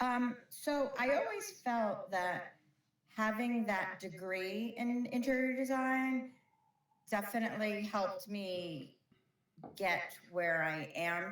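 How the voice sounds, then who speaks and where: With a slight Brooklyn accent, a woman speaks very slowly with lively intonation. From New York, Brooklyn. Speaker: flooring company operations director. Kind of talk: interview.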